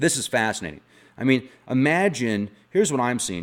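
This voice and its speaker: Over a silent background on a very clean recording, a man speaks at a moderate pace in a medium pitch. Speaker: conspiracy and paranormal YouTuber. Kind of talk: casual video monologue. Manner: animated.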